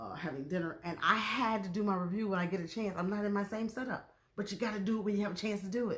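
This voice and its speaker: The delivery comes at a fairly quick pace. There is a somewhat breathy quality to it. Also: woman. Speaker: YouTube TV show reviewer. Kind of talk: casual vlog review. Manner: soft-spoken.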